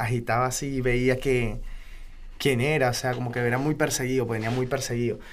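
A man speaks at medium pitch with fairly even intonation. Room echo is audible. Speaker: freestyle rapper. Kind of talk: interview.

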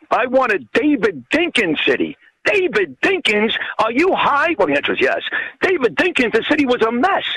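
With a New York accent, a man talks at a moderate pace, his pitch swinging very widely, in a dry, close recording with no echo. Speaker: radio host and author. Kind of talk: interview.

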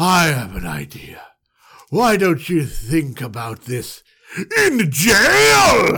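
A man uses a put-on character voice at a fairly high pitch. He talks at a very slow pace, with very wide swings in pitch. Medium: read story. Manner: imperious, accusing.

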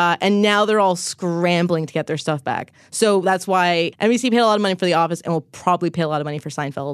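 It is a normal speaking voice, delivered at a fairly quick pace with ordinary pitch variation. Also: woman, quiet background. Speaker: journalist covering streaming. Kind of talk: casual tech podcast discussion.

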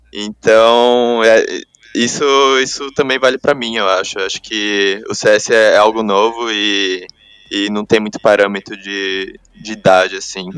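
A plain, everyday voice belongs to this man, who speaks at a medium pitch with fairly even intonation. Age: 20s. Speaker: pro gamer. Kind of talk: interview.

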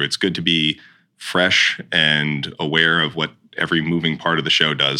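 A man is talking. The tone of his voice is bright and sharp. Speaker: stage manager. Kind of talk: casual interview chat.

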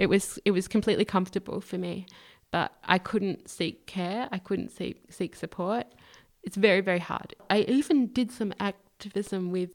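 A woman with an Australian accent, medium pitch and a dark, mellow tone at a moderate pace, in a dry, close sound with no echo and a very clean recording with a silent background. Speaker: human rights activist. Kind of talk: interview.

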